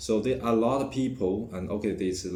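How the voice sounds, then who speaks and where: Somewhat breathy and at a fairly quick pace, a man talks in a room with audible echo. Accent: Chinese. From China. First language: Chinese. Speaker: vlogger. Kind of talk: personal vlog monologue. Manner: halting, many fillers and restarts.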